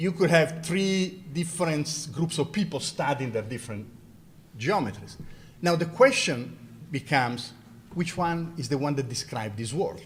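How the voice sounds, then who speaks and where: A man's fairly high voice with an Italian accent, vocal fry, a moderate pace, and audible room echo. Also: lively intonation. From Italy. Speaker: mathematics professor and university president. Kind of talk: lecture Q&A.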